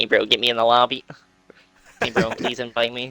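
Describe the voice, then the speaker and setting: Squeaky and fairly quick, a man's put-on character voice sits at a medium pitch. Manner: whiny, begging.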